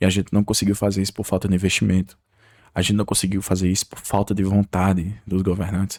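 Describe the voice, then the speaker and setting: A man with a fairly low pitch speaks very fast in a monotone, flat intonation. The sound is dry and close with no echo. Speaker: YouTuber. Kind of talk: unscripted video monologue. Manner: halting.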